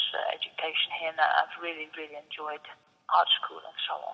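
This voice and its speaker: With a Dutch accent, a woman talks at a moderate pace. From Netherlands. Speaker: sculptor. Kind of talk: interview. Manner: hesitant, with fillers.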